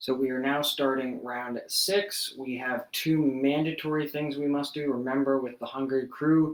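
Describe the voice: Plain reading aloud, intonation fairly even throughout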